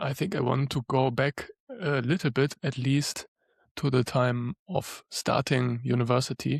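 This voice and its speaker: In a dry, close recording with no echo, a man of medium pitch sounds somewhat breathy, speaking at a fairly slow pace with fairly even intonation. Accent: German. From Germany. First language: German. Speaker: lawyer and spiritual coach. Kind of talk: podcast interview.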